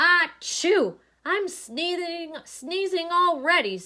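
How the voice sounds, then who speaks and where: A woman uses a put-on character voice pitched extremely high. She speaks at a very slow pace. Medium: read story.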